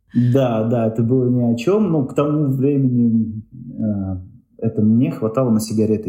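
Ordinary pitch variation runs through a man's medium-pitched delivery in an ordinary speaking voice. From Uzbekistan, Tashkent. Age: 30s. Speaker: tour organizer and blogger. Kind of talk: interview.

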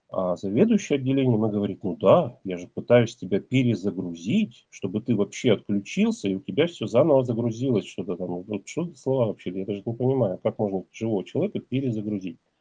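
Hardly any pauses break a man's very fast delivery. His voice sits at a medium pitch with ordinary variation. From Russia, Ural region. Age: 40s. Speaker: man telling his personal story. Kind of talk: personal testimony.

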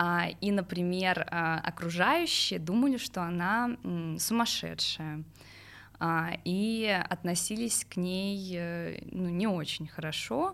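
The speech moves at a very slow pace with ordinary pitch variation. The recording is very clean with a silent background. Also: woman, medium pitch for a woman. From Moscow region, Russia. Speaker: journalist. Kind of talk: personal testimony interview. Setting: studio. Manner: hesitant, many fillers.

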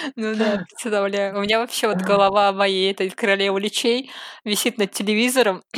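A woman talks at a moderate pace with a medium pitch. Her intonation is monotone and flat. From Saint Petersburg, Russia. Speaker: cosplayer and artist. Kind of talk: casual chat.

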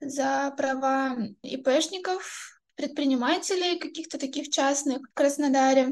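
A woman's high voice at a fairly slow pace, with fairly even intonation. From southern Russia, Krasnodar. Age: 20s. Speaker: activist's daughter. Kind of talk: personal recollection.

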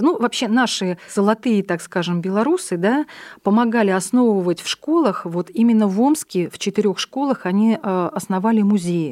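A woman speaks at a moderate pace and medium pitch in an ordinary speaking voice, with lively intonation. The recording is very clean with a silent background and a dry, close sound with no echo. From Russia, military towns; born in Buryatia. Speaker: head of an ethnic community association. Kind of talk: radio interview.

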